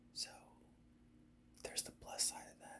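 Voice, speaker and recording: A whisper at a moderate pace. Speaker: gaming ASMR creator. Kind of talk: whispered gameplay commentary. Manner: soft whispered.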